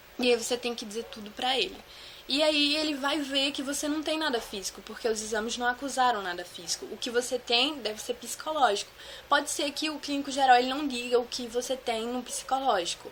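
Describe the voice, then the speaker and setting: A woman speaks with a high pitch. Noticeable noise sits in the background. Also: ordinary pitch variation, fairly quick pace. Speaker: vlogger sharing anxiety disorder experience. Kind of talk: casual Q&A vlog. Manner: fast.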